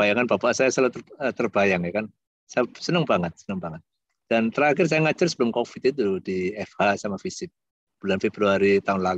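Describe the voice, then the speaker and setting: Against a quiet background, a fairly low-voiced man talks at a fairly quick pace with lively intonation, the sound dry with no echo. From Indonesia. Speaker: university lecturer. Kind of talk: guest lecture over video call. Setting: video call. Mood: warm, jovial. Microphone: video call.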